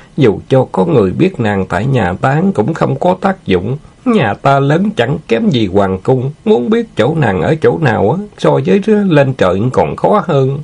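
Putting on a character voice, a man speaks at a medium pitch and a fairly slow pace, with vocal fry, a slightly husky edge, a slightly mellow tone and big pitch swings.

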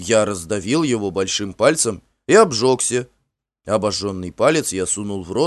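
The intonation is lively in this natural reading voice, heard over a quiet background.

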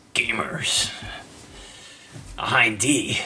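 In a raspy put-on character voice, a man speaks with a serious tone at a medium pitch. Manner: gruff, serious.

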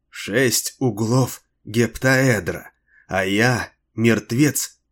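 The quiet background carries plain reading aloud whose intonation stays fairly even.

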